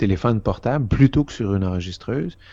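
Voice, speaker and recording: A man with a dark, mellow tone and lively intonation at a moderate pace, over a quiet background. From Quebec. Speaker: foreign correspondent. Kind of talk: interview.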